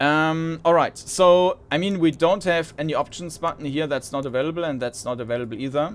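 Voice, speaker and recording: Speaking at a fairly quick pace with hardly any pauses, a man uses a fairly high pitch and ordinary pitch variation. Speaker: gaming video host. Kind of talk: let's play commentary. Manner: loud; halting, many fillers.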